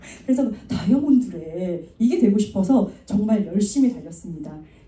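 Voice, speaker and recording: Noticeable background noise sits behind a woman's voice. She speaks fairly quickly with lively intonation. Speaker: network marketing speaker. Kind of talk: motivational talk. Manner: fast.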